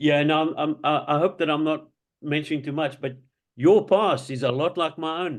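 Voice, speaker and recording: Speaking at a moderate pace with a South African accent, a man uses fairly even intonation and a fairly high pitch for a man. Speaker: participant in faith group. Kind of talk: casual chat. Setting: video call.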